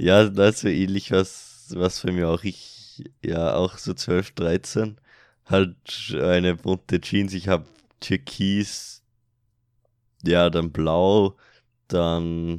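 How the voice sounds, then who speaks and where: Over a silent background in a very clean recording, a man speaks very slowly in a very deep, low monotone, leaving long, frequent pauses. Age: young. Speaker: podcast host. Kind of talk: casual chat.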